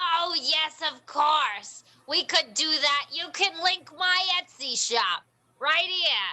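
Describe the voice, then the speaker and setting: This put-on character voice is high-pitched and delivered at a very slow pace. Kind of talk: comic improv character. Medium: stage play. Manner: folksy, rambling, full of "you know".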